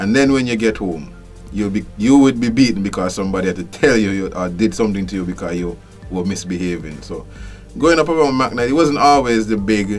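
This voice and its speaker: Over music in the background, a man with a Kittitian accent talks at a fairly quick pace and fairly low pitch, his intonation lively. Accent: Kittitian Caribbean English. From Saint Kitts. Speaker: customs official. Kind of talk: interview answer.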